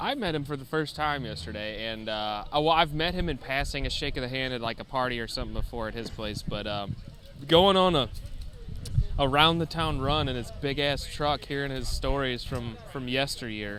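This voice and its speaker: With audible room echo, a man speaks at a moderate pace at a medium pitch with ordinary pitch variation. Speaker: podcast co-host. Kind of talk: casual chat. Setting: outdoors at a music festival.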